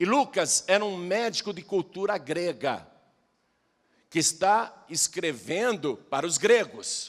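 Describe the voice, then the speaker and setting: Very slow delivery with lively intonation. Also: man, high pitch for a man, very clean recording, silent background. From Brazil, Piracicaba (São Paulo interior). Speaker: pastor. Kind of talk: sermon.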